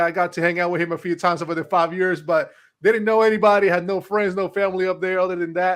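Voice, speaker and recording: A man with a Spanish accent speaks at a high pitch with ordinary pitch variation on a very clean recording with a silent background. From Puerto Rico. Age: 30s. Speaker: success coach and motivational speaker. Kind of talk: interview.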